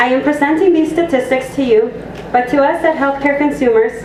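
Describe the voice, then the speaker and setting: There is noticeable background noise and audible room echo. A woman with a high voice speaks at a moderate pace, with ordinary pitch variation. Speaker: health advocacy hotline coordinator. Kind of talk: public presentation. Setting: community meeting room with audience. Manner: soft-spoken.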